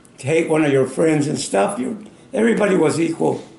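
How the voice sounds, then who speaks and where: A man's fairly high voice with an American accent and lively intonation at a moderate pace, with audible room echo. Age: 90s. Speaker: war veteran. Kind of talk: interview. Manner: halting.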